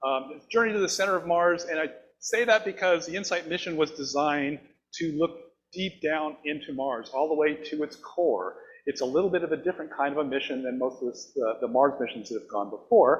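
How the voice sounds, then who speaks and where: A man talks at a fairly quick pace with lively intonation and big swings in loudness. His pitch is fairly high. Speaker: planetary scientist. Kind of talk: public science lecture. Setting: stage with live audience. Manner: fast.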